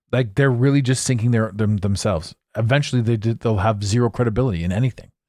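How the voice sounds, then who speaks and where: A man's dark, mellow voice at a medium pitch, fairly quick in pace with ordinary pitch variation, on a very clean recording with a silent background. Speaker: podcast host and coach. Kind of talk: solo podcast commentary. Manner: halting, many fillers.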